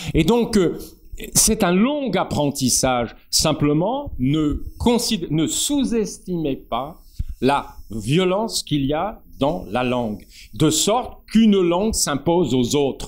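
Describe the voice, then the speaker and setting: At a very slow pace, a man with a high pitch makes very wide pitch swings. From northern France. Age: 70s. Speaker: poet and essayist. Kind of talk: public talk with discussion.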